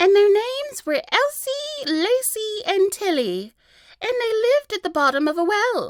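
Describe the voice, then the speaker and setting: Squeaky and extremely high, a woman's put-on character voice swings very widely in pitch. She talks at a moderate pace. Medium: read story.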